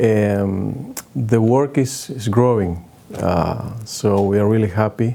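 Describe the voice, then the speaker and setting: Over noticeable background noise, a man speaks in a fairly low voice with fairly even intonation. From northern Argentina. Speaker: pastor. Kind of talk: interview. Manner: halting.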